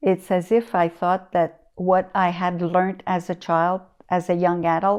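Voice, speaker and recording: In a very clean recording with a silent background, a woman at medium pitch speaks at a very slow pace. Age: 60s. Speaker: community elder. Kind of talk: interview. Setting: her living room. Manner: hesitant, many fillers.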